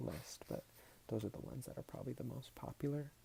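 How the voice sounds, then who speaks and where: Soft-spoken and somewhat breathy, a man talks in a dark, mellow tone. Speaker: ASMR YouTuber. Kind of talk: casual talk to camera about vinyl records.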